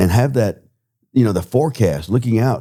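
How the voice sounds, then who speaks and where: With a Southern US accent, a man speaks at a moderate pace and medium pitch. His tone is dark and mellow, with ordinary pitch variation. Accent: Southern US (Georgia). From US South, Georgia (Hall County). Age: 60s. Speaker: political candidate, business owner. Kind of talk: interview. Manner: halting, with filler words.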